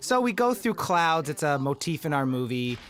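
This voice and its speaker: Here a man is talking. His pace is fairly quick. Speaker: film director. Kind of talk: audio commentary.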